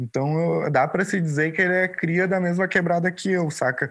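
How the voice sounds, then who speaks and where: A man has an ordinary speaking voice, with ordinary pitch variation and a moderate pace. The recording is very clean, with a silent background. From southern Brazil, Porto Alegre (Restinga). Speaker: visual artist. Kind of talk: interview.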